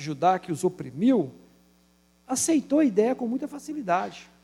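The man's voice moves in very wide pitch swings. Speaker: pastor. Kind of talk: sermon.

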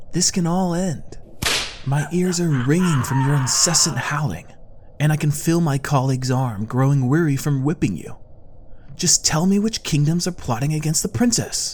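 A man's growling, put-on character voice, fairly high in pitch, with ordinary pitch variation, a moderate pace and light background noise. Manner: impatient, growling.

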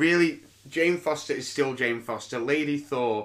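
A man with a British accent and a medium pitch speaks fairly slowly, his pitch varying in an ordinary way. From UK. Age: 30s. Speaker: podcast host and comedian. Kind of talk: casual solo podcast monologue.

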